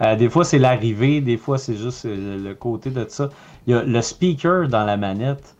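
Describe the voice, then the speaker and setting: A man in a Quebec accent speaks fairly slowly at a medium pitch with ordinary pitch variation. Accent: Québécois French. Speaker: video game podcast co-host. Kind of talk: casual chat. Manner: halting.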